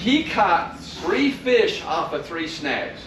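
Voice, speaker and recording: There is audible room echo and noticeable background noise. A man talks with very wide pitch swings. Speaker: fishing seminar presenter. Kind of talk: lecture.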